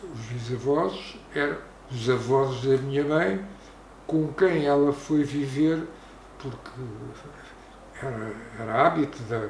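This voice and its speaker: A man with a Lisbon accent speaks at a fairly high pitch with ordinary pitch variation. His pace is very slow with long, frequent pauses, amid noticeable background noise and audible room echo. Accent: European Portuguese, Lisbon region. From Portugal, Arruda dos Vinhos. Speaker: local elder. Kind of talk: oral history interview.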